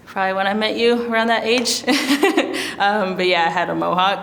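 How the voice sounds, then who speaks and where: A woman with an American accent is heard against noticeable background noise. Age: 20s. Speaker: oil painter. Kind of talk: interview answer. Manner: casual, conversational.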